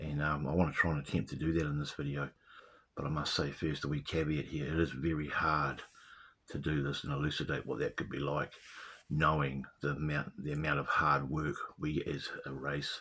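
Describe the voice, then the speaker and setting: A man with a New Zealand accent speaks at a moderate pace with a very deep, low pitch and vocal fry. His intonation is monotone and flat. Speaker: video blogger. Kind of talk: casual monologue. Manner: halting.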